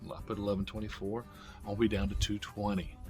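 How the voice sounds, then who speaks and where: A man with an upbeat tone, music playing behind him. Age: 50s. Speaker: diet vlogger. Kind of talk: casual talk to camera. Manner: upbeat, motivational.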